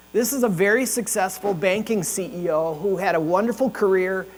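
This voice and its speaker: Noticeable noise sits behind speech with lively intonation. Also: man. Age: 60s. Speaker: leadership consultant and event host. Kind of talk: opening remarks at a breakfast event. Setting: ballroom with audience. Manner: casual, conversational.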